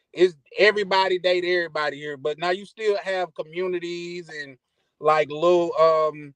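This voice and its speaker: A man with a Mississippi accent and a high pitch, at a moderate pace with fairly even intonation. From US, Army brat, Mississippi. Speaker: caller to a travel podcast. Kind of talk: casual chat. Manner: hesitant, many fillers.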